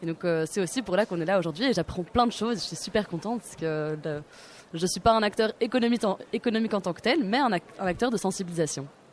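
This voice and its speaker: A woman rushes along at a very fast pace, her medium pitch showing ordinary pitch variation. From Belgium. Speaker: student activist. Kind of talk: radio panel discussion. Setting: live radio set at a forum.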